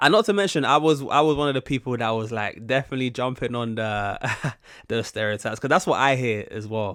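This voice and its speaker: Very clean and silent in the background, this recording has a man with a British accent at medium pitch. He talks very fast with ordinary pitch variation. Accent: British, some viewers say posh-sounding. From UK. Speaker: YouTube reactor. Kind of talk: casual reaction commentary. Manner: halting, many false starts.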